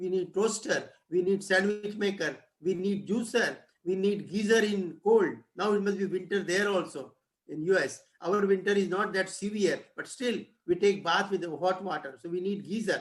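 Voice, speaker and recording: Speaking in an Indian accent at a moderate pace, a man has a high pitch and fairly even intonation. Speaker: professor. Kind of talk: lecture. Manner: halting.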